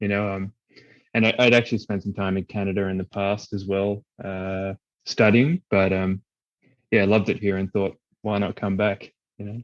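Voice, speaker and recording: Speaking in an Australian accent, a man with a fairly low pitch and monotone, flat intonation leaves long, frequent pauses, the sound dry and close with no echo. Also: moderate pace. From Australia (Perth). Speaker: musician and event band company manager. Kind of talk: podcast interview.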